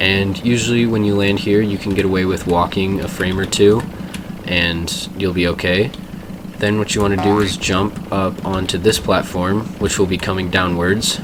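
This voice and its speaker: Monotone, flat intonation at a moderate pace, with noticeable background noise. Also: man, fairly low pitch for a man. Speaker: speedrunner. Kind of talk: game tutorial narration.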